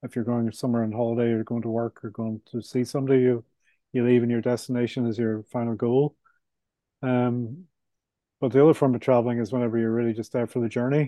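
Speaking very fast with a Belfast accent, a man holds a medium pitch and a flat, monotone delivery. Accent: Belfast Northern Irish. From Northern Ireland, Belfast. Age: 60s. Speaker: author and property developer. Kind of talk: casual interview.

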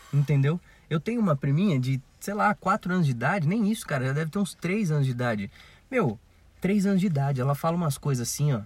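In a very clean recording with a silent background, a man talks at a very fast pace in a somewhat breathy, fairly high voice with lively intonation. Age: 20s. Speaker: podcast co-host. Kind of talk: casual chat.

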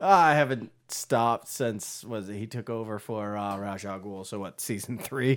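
On a very clean recording with a silent background, a man at fairly low pitch talks at a moderate pace with hardly any pauses, big swings in loudness and ordinary pitch variation. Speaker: podcast co-host. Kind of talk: casual chat. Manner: animated.

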